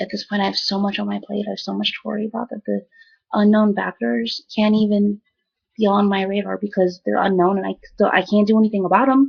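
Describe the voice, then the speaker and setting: A woman speaks somewhat breathily, her intonation fairly even. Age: young. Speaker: video blogger recovering from a stroke. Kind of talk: personal video diary. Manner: halting, repeats words.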